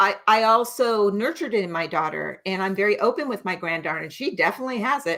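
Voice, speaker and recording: A woman with an American accent speaks at a very fast pace, hardly pausing, with lively intonation at a medium pitch. The recording is very clean, with a silent background. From United States. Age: 60s. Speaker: nurse practitioner. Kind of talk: interview.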